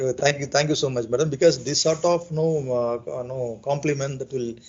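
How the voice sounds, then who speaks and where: A man speaks at a fairly quick pace in a somewhat breathy, fairly high voice. His intonation stays fairly even. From India, Chennai. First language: Telugu. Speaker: English learner, airline cargo sales worker. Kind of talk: casual chat. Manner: fast.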